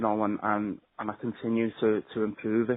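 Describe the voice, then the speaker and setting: A man at medium pitch with monotone, flat intonation. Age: 20s. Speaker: mental health advocate. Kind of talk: personal testimony. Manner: halting, many repetitions.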